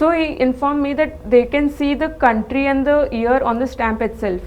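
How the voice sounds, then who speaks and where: The speaker goes at a fairly quick pace with fairly even intonation, and there is noticeable background noise. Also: woman. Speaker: MBA interview candidate. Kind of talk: mock job interview. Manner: halting, stuttering.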